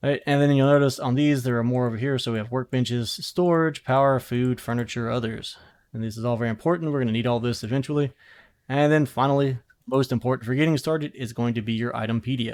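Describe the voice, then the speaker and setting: A man talks at a very fast pace in a medium pitch with fairly even intonation, on a very clean recording with a silent background. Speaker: gaming youtuber. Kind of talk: tutorial.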